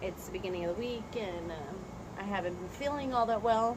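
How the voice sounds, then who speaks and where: Audible room echo and noticeable background noise, with ordinary pitch variation. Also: woman. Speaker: teacher and channel co-host. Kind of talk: casual chat. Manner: loud, projecting.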